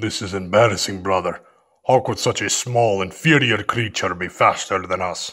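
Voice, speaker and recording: A put-on character voice from a man, pitched fairly low and delivered at a moderate pace. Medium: audio drama. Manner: arrogant, hostile.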